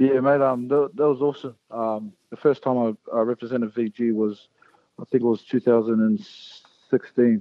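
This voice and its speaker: This man talks at a moderate pace with a New Zealand accent, his medium-pitched voice keeping a fairly even intonation. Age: 20s. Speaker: professional rugby league player. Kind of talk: interview. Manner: halting.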